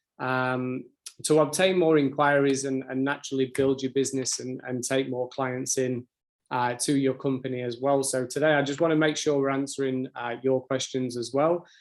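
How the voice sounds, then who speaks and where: A man speaks with a British accent at a medium pitch. His intonation is monotone and flat. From UK. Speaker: sales account manager. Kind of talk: webinar presentation. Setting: online webinar. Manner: fast.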